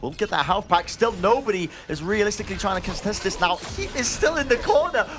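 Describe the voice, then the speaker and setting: With music playing behind him, a man talks at a fairly quick pace in an excited tone, his high pitch and lively intonation standing out. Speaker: esports commentator / caster. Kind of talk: live esports match commentary. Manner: fast-paced, excited play-by-play.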